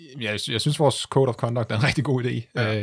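At a fairly quick pace, a man talks in a plain, everyday voice with a medium pitch and ordinary pitch variation. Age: 30s. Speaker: amateur ultra-distance cyclist. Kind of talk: casual interview chat.

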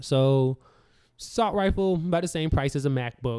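A man with an American accent and ordinary pitch variation. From US South. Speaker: podcast co-host. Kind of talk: casual political discussion.

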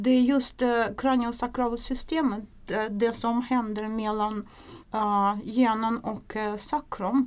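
A woman with a Russian accent speaks at a very slow pace in a fairly high pitch. Her intonation is fairly even, and the recording is very clean with a silent background. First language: Russian (speaking Swedish). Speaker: craniosacral therapist and nurse. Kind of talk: interview explanation. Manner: hesitant with fillers.

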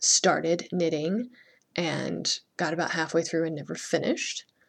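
The speaker's voice has audible vocal fry and moves at a fairly slow pace. The recording is very clean, with a silent background. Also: woman. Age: 30s. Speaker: painter and art teacher hosting a podcast. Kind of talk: solo podcast monologue.

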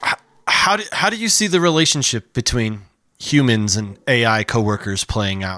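This man has an ordinary speaking voice, talking at a moderate pace with lively intonation. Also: medium pitch for a man. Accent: American. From Chicago, US Midwest. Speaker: podcast host. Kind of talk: interview.

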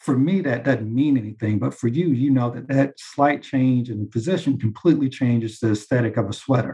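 A man's somewhat breathy, dark and mellow voice at a medium pitch, moving at a fairly quick pace. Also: ordinary pitch variation, hardly any pauses. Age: 40s. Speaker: commercial real estate banker. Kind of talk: interview.

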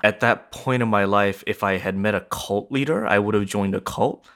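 A man with an unremarkable speaking voice talks at a fairly quick pace with a fairly low pitch and ordinary pitch variation, in a very clean recording with a silent background. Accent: American. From born in Japan, raised in US from age 7. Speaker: nonviolence trainer and author. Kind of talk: interview.

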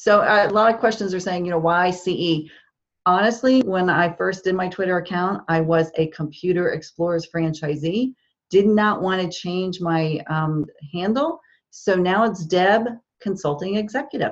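A woman with a normal speaking voice and an American accent talks at a moderate pace. Her medium pitch shows ordinary pitch variation. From New Jersey. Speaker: social media marketing consultant. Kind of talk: interview.

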